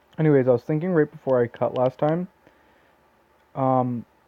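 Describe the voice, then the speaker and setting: Here a man talks at a moderate pace. His medium pitch shows ordinary variation. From Canada, southern Ontario near Toronto. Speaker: gaming YouTuber. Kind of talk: gameplay commentary. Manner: halting, many fillers.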